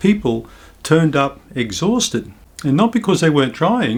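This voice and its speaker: Speaking with a New Zealand accent, a man uses a fairly high pitch and lively intonation at a moderate pace. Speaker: naturopath. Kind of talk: health education talk to camera. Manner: calm, reassuring.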